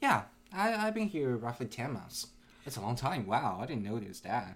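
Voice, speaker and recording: Heard in a very clean recording with a silent background, a man with a Chinese accent makes very wide pitch swings. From China (Nanjing). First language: Mandarin Chinese. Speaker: game company employee. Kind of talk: casual chat.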